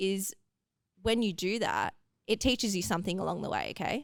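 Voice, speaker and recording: Medium-pitched female speech with vocal fry, in an Australian accent. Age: 20s. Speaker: athlete, hurdle sprinter. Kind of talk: casual interview chat.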